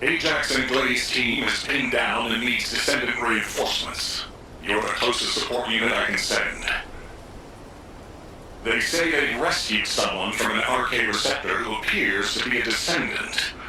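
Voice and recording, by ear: A man performs a cartoonish character voice at a moderate pace, with slight echo and loud background noise.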